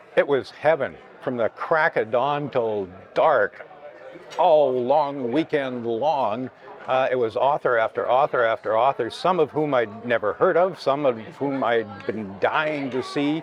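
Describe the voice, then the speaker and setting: Speaking with a Canadian accent, a man uses a fairly high pitch with ordinary variation. Noticeable background noise is present. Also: fairly slow pace. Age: 60s. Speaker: journalist and author. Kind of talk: interview.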